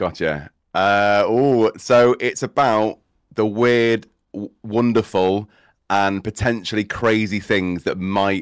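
Speaking at a very slow pace with a Cheshire accent, this voice comes through on a very clean recording against a silent background. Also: man. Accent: northern English (Cheshire). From England, Cheshire. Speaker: streamer and theatre school owner. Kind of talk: casual chat.

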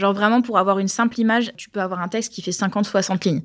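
An unremarkable speaking voice from a woman, medium in pitch, with fairly even intonation and a fairly quick pace, in a very clean recording with a silent background. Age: 30s. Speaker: podcast co-host. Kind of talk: casual chat.

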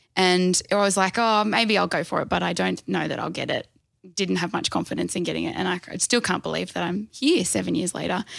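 A woman with an Australian accent speaks at a fairly quick pace on a very clean recording with a silent background. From Australia, Canberra. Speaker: dietitian. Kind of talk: casual interview chat.

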